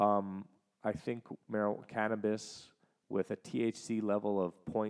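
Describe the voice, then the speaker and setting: A man speaks at a fairly slow pace in a fairly low pitch, with a dry, close sound and no echo. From Canada. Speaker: podcast host. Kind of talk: solo monologue recounting travel. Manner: casual, with fillers and restarts.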